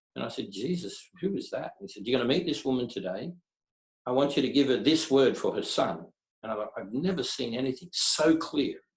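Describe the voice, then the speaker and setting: A man talks at a fairly quick pace and fairly high pitch, somewhat breathy, with lively intonation. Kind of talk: interview answer, personal storytelling.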